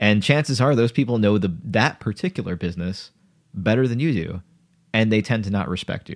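On a very clean recording with a silent background, a man talks in a normal speaking voice, fairly low in pitch, at a fairly quick pace with lively intonation. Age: 20s. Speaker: podcast co-host. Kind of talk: casual chat.

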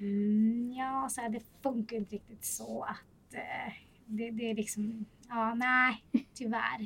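Speaking very slowly, a woman delivers her words in a monotone, flat intonation. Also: fairly high pitch for a woman. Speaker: flight attendant. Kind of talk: casual chat.

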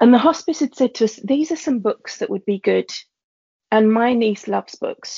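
Talking at a fairly quick pace, a woman speaks with a London accent. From East London. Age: 30s. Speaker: teacher. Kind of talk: personal testimony in casual chat.

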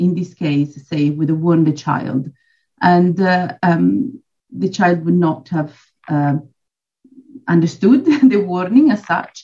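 Somewhat breathy and dark, mellow in tone, a woman talks at a very slow pace with lively intonation. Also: fairly low pitch for a woman. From Switzerland. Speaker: dog trainer and behaviourist. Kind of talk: casual interview chat.

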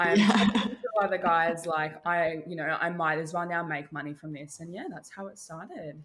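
A woman's normal speaking voice, fairly low in pitch, with fairly even intonation, a moderate pace and big swings in loudness. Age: 20s. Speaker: content creator. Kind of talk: casual chat.

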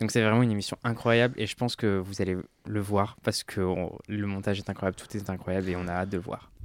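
On a very clean recording with a silent background, a man talks at a very fast pace in a flat monotone. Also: fairly low pitch for a man. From France, Ardèche. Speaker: drag queen. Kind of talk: casual chat.

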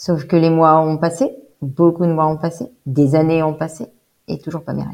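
A woman speaks with a very deep, low pitch. Her intonation is flat and monotone. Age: 30s. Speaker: bereaved mother retraining as pastry chef. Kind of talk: interview testimony. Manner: hesitant, many fillers.

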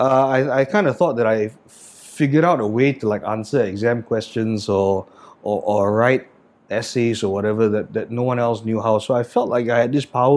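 A man with a Singaporean accent speaks fairly quickly at a medium pitch, his intonation fairly even. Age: 30s. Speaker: chef and restaurant owner. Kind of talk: casual interview conversation. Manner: casual, hesitant, profane.

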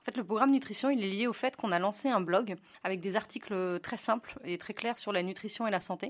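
A woman rattles along very fast, her pitch varying in an ordinary way. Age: 30s. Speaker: app co-founder. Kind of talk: interview.

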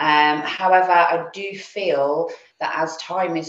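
A woman speaks with an English accent at a fairly low pitch. Audible room echo fills the recording. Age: 40s. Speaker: insurance broker. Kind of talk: interview. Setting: video call.

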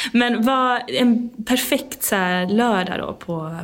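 A woman's voice with ordinary pitch variation. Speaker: podcast host. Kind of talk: casual interview. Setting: conference room. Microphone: room echo.

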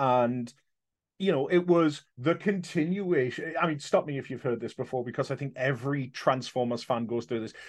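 A man with a fairly high voice keeps a moderate pace, his pitch varying in an ordinary way. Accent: English. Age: 40s. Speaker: convention organiser. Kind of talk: casual chat.

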